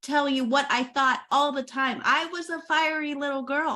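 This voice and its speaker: Projecting a raised voice with an American accent, a woman speaks at a moderate pace with a high pitch, a bright, sharp tone, and monotone, flat intonation. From Oklahoma. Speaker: podcast host. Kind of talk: interview conversation.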